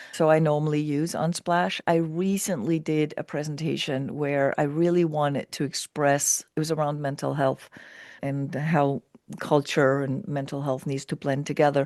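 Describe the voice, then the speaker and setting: A woman with a very deep, low pitch speaks with fairly even intonation in a dry, close sound with no echo. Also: moderate pace, quiet background. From Denmark. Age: 60s. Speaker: keynote speaker and culture strategist. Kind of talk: interview conversation. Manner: long run-on sentences.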